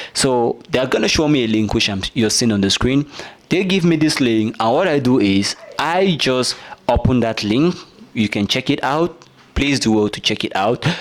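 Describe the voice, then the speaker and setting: Lively intonation and very even loudness in an American accent, at a moderate pace over noticeable background noise. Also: man, medium pitch for a man. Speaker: YouTube creator giving tutorial. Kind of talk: tutorial. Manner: casual, frequent filler 'right'.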